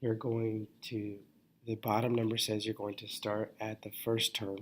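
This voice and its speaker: Quietly, a man speaks at a fairly low pitch and a fairly slow pace. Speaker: math teacher. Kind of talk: lecture. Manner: halting.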